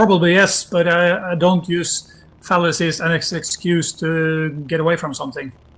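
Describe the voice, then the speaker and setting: A man's high voice with a Norwegian accent, fairly even intonation and a moderate pace. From Norway. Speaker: debate guest. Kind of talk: debate. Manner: halting.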